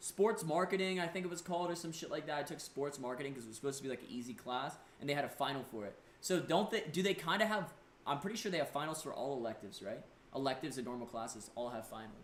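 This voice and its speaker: A man with a fairly high voice speaks very fast in an animated tone and lively intonation, with noticeable background noise and audible room echo. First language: not English. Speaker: live streamer. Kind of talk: casual live stream chat, reading viewer messages.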